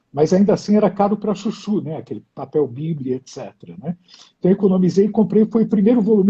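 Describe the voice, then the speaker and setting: This man speaks at a fairly quick pace in a high pitch, with a dark, mellow tone, ordinary pitch variation and a dry, close sound with no echo. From Brazil, São Paulo, child of Hungarian immigrants. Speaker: poet and translator. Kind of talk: interview conversation. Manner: hesitant, repeats words.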